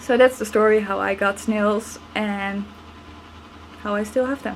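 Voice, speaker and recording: A woman with a non-native accent speaks at a fairly slow pace in a monotone, flat intonation and a fairly high pitch, with noticeable background noise. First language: not English. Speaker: snail keeper. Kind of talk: casual talk to camera.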